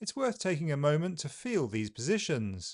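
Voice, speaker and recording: A man's fairly high voice with very wide pitch swings, a southern British accent and a moderate pace, dry and close with no echo, over a quiet background. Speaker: English pronunciation teacher. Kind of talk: tutorial. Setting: video with live feed.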